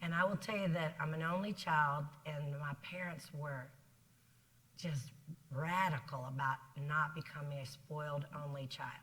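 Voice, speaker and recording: In a Southern US accent, a woman with a very deep, low pitch and a bright, sharp tone speaks with long, frequent pauses amid audible room echo. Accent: Southern drawl. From South Carolina. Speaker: business executive. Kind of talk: interview on stage. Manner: fast; energetic.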